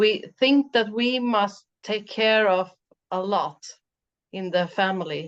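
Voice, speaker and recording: In a Swedish accent, a woman talks at a very slow pace with a medium pitch. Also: ordinary pitch variation. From Sweden. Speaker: mental coach. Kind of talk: interview chat. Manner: halting.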